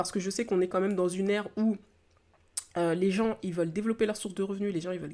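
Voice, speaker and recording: Her pitch sits in the middle range, and the woman's intonation stays fairly level. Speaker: entrepreneur and podcast host. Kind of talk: solo podcast monologue. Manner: fast; hesitant, many fillers.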